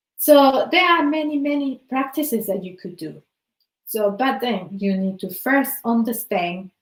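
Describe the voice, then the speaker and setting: Using lively intonation, a woman with a Spanish accent speaks at a fairly slow pace. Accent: Spanish-accented English, noticeable. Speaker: wellbeing coach. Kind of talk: motivational talk.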